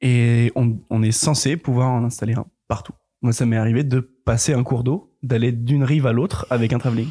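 A man speaks at a moderate pace and medium pitch, with a dark, mellow, somewhat breathy tone. His loudness stays very even and his intonation fairly even. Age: 20s. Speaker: film grip. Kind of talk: casual chat. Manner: halting.

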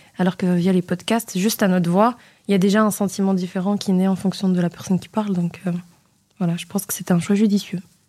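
A woman at a medium pitch and very fast pace, dark and mellow in tone with monotone, flat intonation, in a very clean recording with a silent background. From Moroccan diaspora in Belgium, family from Oujda. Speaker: financial auditor. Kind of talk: radio interview. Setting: studio.

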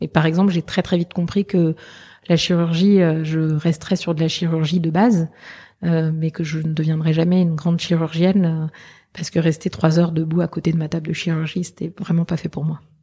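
A woman's fairly low, dark, mellow voice, somewhat breathy, with flat, monotone intonation at a moderate pace. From southern France. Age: 40s. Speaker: veterinarian. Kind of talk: interview. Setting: meeting room in Paris.

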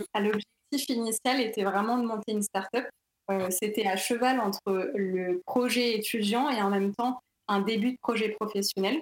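A plain, everyday voice speaks at a moderate pace with very even loudness and fairly even intonation. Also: woman, fairly high pitch for a woman. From Paris region, France. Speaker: neuroscience graduate. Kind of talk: interview.

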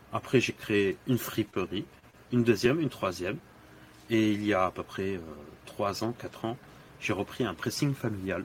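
A man speaks at a moderate pace with a fairly low pitch and a somewhat breathy voice. His pauses are long and frequent. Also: ordinary pitch variation. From Senegal (Dakar). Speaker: LinkedIn influencer and dry-cleaning shop owner. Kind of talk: podcast interview. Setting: in his dry-cleaning shop.

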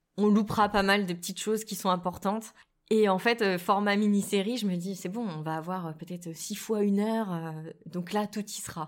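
In an ordinary speaking voice, a woman talks at a moderate pace and medium pitch with fairly even intonation. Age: 30s. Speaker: novelist. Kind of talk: interview.

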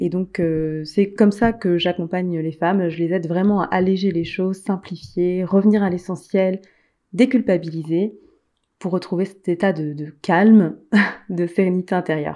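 Against a quiet background, a woman speaks at a moderate pace and medium pitch. Her tone is dark and mellow, with fairly even intonation. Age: 30s. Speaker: life coach and author. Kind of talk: interview.

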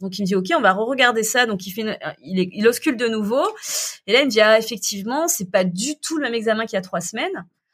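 A woman's fairly high voice, very fast and with lively intonation. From southern France. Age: 30s. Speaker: entrepreneur and cancer survivor. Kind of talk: casual interview.

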